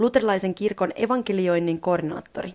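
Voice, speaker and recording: A woman with a plain, everyday voice speaks at a moderate pace and a medium pitch with ordinary pitch variation. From Finland. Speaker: radio presenter and mission communications specialist. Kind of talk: scripted narration.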